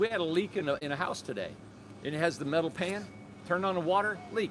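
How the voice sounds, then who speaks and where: A man with an American accent speaks in a high voice. His pace is very fast. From Michigan. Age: 50s. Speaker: tiny home builder and business owner. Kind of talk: casual live stream chat. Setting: live social media stream. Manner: animated.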